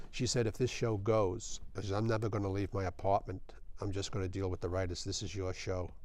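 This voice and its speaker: In a New York accent, a man speaks with fairly even intonation. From New York, Brooklyn. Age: old. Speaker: film production director and author. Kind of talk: interview.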